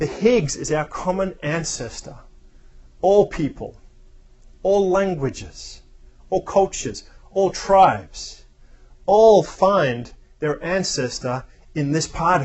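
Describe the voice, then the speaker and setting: At a very slow pace, a man speaks with long, frequent pauses. His pitch is high, with ordinary variation. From Australia. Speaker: spiritual speaker. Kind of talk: reflective talk.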